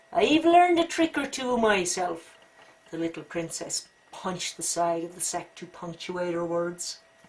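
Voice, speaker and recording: Over noticeable background noise, a woman with a fairly low pitch speaks at a fairly slow pace with ordinary pitch variation and big swings in loudness. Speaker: storyteller. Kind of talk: children's story read-aloud.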